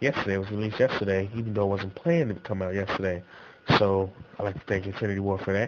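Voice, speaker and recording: At a very fast pace, a man speaks in a fairly low pitch with fairly even intonation. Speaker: gaming YouTuber. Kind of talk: casual vlog commentary.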